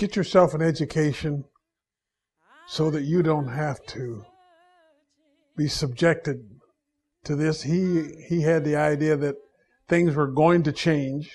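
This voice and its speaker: A somewhat breathy man with an American accent speaks at a fairly slow pace and fairly high pitch, with fairly even intonation and long, frequent pauses. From Ohio. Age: 80s+. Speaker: university alumnus. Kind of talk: oral history interview.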